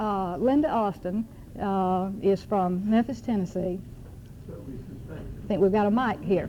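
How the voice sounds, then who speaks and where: With a Southern US accent, a woman speaks at a very slow pace in a medium pitch with ordinary pitch variation, and audible room echo surrounds her voice. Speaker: adoption reform activist, panel moderator. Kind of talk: conference panel introduction. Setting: conference room with audience. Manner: hesitant, many fillers.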